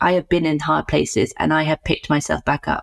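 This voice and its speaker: Speaking with a British accent, a woman talks at a fairly quick pace. Her very deep, low pitch has ordinary pitch variation. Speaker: psychotherapist and co-host. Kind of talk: reflective discussion.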